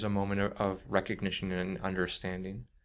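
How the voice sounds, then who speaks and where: Soft-spoken and fairly slow, a man talks on a very clean recording with a silent background. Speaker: author and creative writing teacher. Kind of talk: interview answer.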